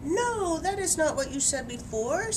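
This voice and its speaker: A squeaky, put-on character voice at a moderate pace over loud background noise. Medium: read story. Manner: eager, dramatic.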